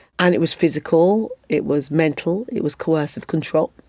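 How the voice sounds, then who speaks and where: A woman talks at a fairly quick pace with ordinary pitch variation and a dark, mellow tone. The recording is dry and close, with no echo. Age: 50s. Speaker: former Olympic athlete and advocate. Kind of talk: podcast interview.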